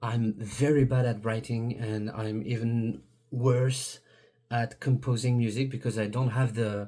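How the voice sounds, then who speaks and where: On a very clean recording with a silent background, a man with a French accent speaks at a fairly slow pace in a dark, mellow, somewhat breathy tone. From France. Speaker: YouTuber. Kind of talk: video monologue. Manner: halting, many fillers and restarts.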